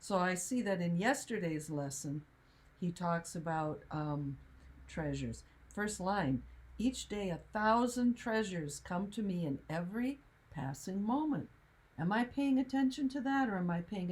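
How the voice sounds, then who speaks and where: A somewhat breathy woman's voice at a fairly low pitch, with very wide pitch swings and a moderate pace. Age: 70s. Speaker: spiritual teacher. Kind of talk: casual chat.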